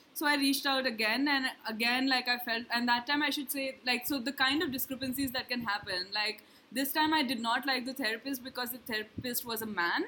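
Noticeable background noise sits behind the speech. The delivery is fairly quick, with fairly even intonation. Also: woman, high pitch for a woman. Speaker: podcast host, writer. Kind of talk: casual chat.

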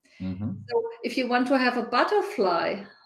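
A woman with a German accent at a fairly slow pace. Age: 50s. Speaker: organizational consultant. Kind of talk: interview.

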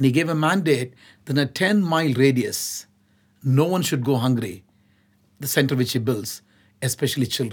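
At a moderate pace, a man with a medium pitch and ordinary pitch variation sounds somewhat breathy on a very clean recording with a silent background. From India, Nagpur. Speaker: nonprofit chief executive. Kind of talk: interview.

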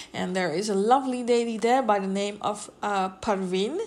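A woman in a plain, everyday voice speaks at a moderate pace with ordinary pitch variation. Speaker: podcast host. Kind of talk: informal, chatty.

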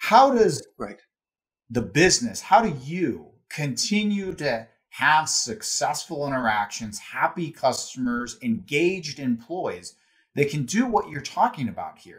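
Somewhat breathy, a man speaks at a fairly slow pace. His pitch swings very widely. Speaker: podcast host. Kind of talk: interview conversation.

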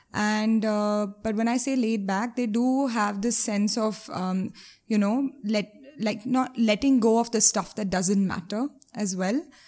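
A woman speaks at a fairly high pitch and a fairly slow pace, her voice somewhat breathy. Her intonation is fairly even, and the recording is very clean with a silent background. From India, Mumbai. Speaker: animal welfare charity founder. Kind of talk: interview conversation.

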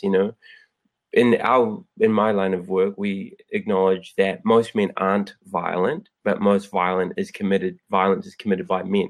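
Moderate-paced speech from a man in a New Zealand accent. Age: 30s. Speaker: former fighter and anti-violence advocate. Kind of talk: casual chat.

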